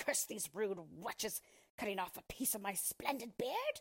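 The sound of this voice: A woman puts on a character voice at a medium pitch, with very wide pitch swings, a slightly husky edge and a fairly slow pace.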